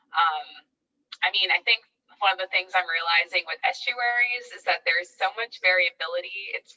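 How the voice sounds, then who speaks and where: Moderate pace with ordinary pitch variation. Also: woman. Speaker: postdoctoral researcher, marine ecologist. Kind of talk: academic Q&A after a talk. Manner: mumbling; hesitant, many fillers.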